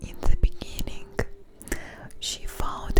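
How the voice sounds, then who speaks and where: A woman whispers over noticeable background noise. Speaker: ASMR streamer. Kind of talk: ASMR soft-spoken storytelling. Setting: studio microphone. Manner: soft-spoken, whispery, relaxing.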